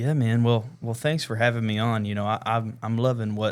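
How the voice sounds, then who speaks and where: This man speaks at a moderate pace in a Southern US accent, his fairly low pitch held to fairly even intonation. The recording is very clean, with a silent background. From West Tennessee (Jackson). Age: 20s. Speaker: worship leader. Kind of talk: casual chat. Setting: studio.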